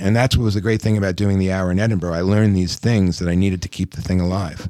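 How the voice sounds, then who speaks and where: A man speaks very fast in a very deep, low voice with a dark, mellow tone and fairly even intonation. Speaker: stand-up comedian. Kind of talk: casual chat. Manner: soft-spoken; neurotic, halting.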